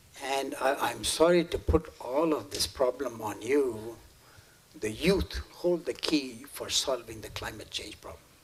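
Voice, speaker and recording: A man with a medium pitch speaks at a fairly slow pace, his intonation lively and his loudness swinging widely. Noticeable background noise sits behind him. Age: 80s+. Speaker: climate scientist. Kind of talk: public talk to students. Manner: halting.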